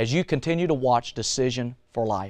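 With ordinary pitch variation and a fairly quick pace, a man speaks in a dry sound with no echo and a quiet background. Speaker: church music minister. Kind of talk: broadcast introduction. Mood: warm, upbeat. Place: studio.

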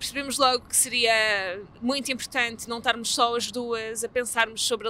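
The tone is bright and sharp, moving at a fairly quick pace with a dry sound and no echo. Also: woman. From Portugal. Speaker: theatre artist; theatre project co-creator. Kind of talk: interview. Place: street.

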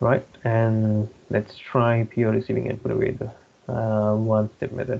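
A man's very slow delivery in a monotone, flat intonation. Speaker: software consultant presenting a feature; presenter. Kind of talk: online tutorial demo. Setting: video call with screen sharing. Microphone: video call.

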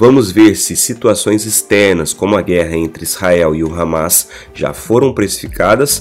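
Over music in the background, a man speaks at a fairly low pitch with lively intonation. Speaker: stock market technical analyst. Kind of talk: market analysis talk to screen.

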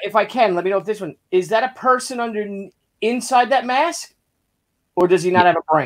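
Against a quiet background, a man with a high pitch talks at a fairly quick pace, his intonation lively and his speech broken by long, frequent pauses. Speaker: comic book artist and co-host. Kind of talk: casual chat. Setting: video call. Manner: animated. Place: home room.

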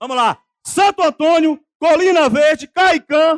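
Against a quiet background, a man speaks loudly in an animated tone. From Brazil, Bahia (Teixeira de Freitas); Bahia, Brazil. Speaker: city councillor. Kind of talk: political speech. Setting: council chamber with audience. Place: hall. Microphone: podium.

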